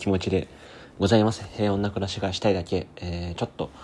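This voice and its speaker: A man speaks at a fairly quick pace with a very deep, low pitch. His intonation is monotone and flat. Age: 20s. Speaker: podcaster and musician. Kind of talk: casual solo monologue. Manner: fast.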